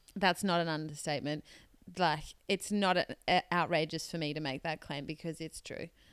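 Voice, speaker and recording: In a very clean recording with a silent background, a plain, everyday voice moves at a fairly quick pace with fairly even intonation in a dry, close sound with no echo. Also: woman, fairly low pitch for a woman. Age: 20s. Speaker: podcast co-host. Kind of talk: casual chat.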